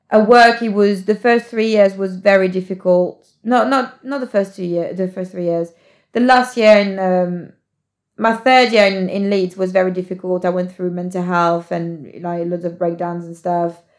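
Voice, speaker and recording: Speaking at a moderate pace with a British accent, a woman keeps a medium pitch and ordinary pitch variation on a very clean recording with a silent background. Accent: British English, near-native. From France. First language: French. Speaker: podcast guest. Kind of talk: casual chat. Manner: animated.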